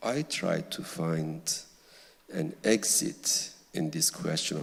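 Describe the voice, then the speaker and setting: A man with a Kurdish-Turkish accent speaks at a very slow pace. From Kurdish village in Turkey. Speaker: novelist. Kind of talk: literary Q&A on stage.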